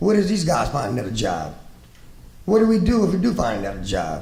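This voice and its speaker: This man talks at a very fast pace over noticeable background noise, with audible room echo. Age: 60s. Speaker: shrimp fisherman, task force representative. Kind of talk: panel discussion. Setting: conference panel with audience. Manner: impassioned.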